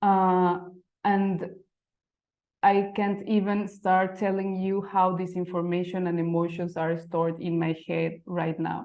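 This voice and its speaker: A woman speaks at a fairly slow pace in a medium pitch. Her intonation is monotone and flat. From Mexico City. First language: Spanish. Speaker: type designer. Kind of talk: presentation. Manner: halting.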